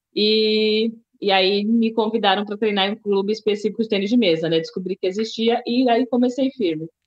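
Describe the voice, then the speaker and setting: With a São Paulo accent, a woman talks at a moderate pace. Her pitch is fairly high, with ordinary variation. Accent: Paulistano Brazilian Portuguese. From Brazil, São Paulo city. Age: 30s. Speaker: table tennis athlete, musician and writer. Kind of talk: interview.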